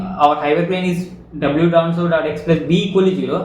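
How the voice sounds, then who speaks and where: A man with a high-pitched voice talks at a moderate pace with fairly even intonation, and the room echo is audible. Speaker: machine learning educator. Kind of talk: tutorial. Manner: halting.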